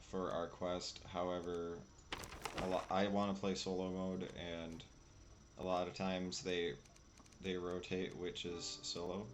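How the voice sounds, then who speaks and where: Quiet and very slow, a man with a very deep, low pitch speaks with long, frequent pauses in a room with audible echo. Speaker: gaming streamer. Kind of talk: gameplay commentary. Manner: casual, hesitant.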